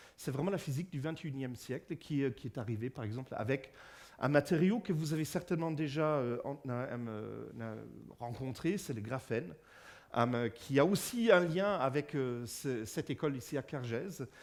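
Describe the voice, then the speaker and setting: The recording is very clean with a silent background, and a man speaks with a German accent at a moderate pace. His fairly high pitch carries lively intonation. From Germany. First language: German (speaking French). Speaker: physicist giving a public lecture. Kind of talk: public lecture. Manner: halting, many fillers and repetitions.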